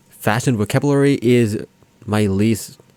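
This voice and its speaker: Ordinary pitch variation from a man with a non-native accent. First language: not English. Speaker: anime reaction youtuber. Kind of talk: video commentary and analysis. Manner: halting, many fillers.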